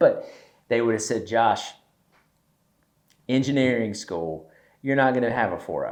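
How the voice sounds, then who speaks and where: Marked by long, frequent pauses, a man with a Southern US accent speaks with ordinary pitch variation. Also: medium pitch for a man, moderate pace. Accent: Southern, noticeable. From US South, East Tennessee. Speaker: podcast host, entrepreneur. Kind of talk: casual chat.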